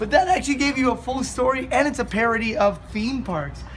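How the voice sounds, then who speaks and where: Light background noise sits behind the speaker. A man talks at a moderate pace. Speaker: travel vlogger. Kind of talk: casual vlog chat. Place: street. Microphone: phone near.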